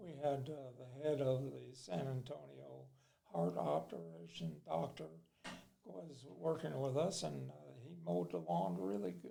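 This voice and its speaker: A man speaks fairly slowly in a dark, mellow tone at a fairly low pitch, his pitch swinging very widely. His loudness varies a great deal, and the room gives an audible echo. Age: 80s+. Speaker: amusement park owner. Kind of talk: casual interview.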